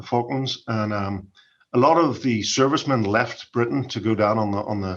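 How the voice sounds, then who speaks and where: Over a quiet background, a man with a Northern Irish accent speaks at a medium pitch and moderate pace with ordinary pitch variation. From Northern Ireland, Derry. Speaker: research director. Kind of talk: podcast interview.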